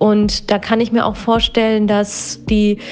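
A woman at a fairly high pitch, very slow pace and monotone, flat intonation, with noticeable background noise. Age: 30s. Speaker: psychotherapist. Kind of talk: interview.

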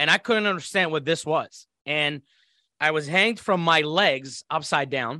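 A man with an Iraqi accent speaks in a fairly high voice. The sound is dry and close, with no echo. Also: quiet background. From Iraq (Baghdad). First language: Arabic. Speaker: former military interpreter and intelligence operative. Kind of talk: life story interview. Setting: video call.

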